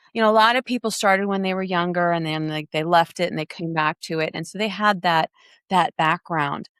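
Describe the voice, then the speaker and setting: A woman speaks at a fairly quick pace in an unremarkable speaking voice. Her pitch sits fairly low and varies in an ordinary way. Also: dry, close sound with no echo, very clean recording, silent background. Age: 50s. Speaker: adult gymnast and dance teacher. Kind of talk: casual interview chat.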